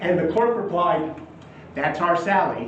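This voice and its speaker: Noticeable background noise behind a man with an American accent, high pitch and fairly slow pace. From San Antonio, Texas. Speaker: magician and storyteller. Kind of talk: live storytelling performance.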